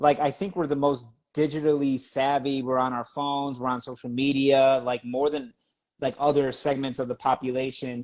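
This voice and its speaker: The speaker has a Spanish accent and a monotone, flat intonation. The recording is very clean, with a silent background. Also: man, medium pitch for a man, moderate pace. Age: 30s. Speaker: magazine editor and interviewer. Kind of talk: interview conversation.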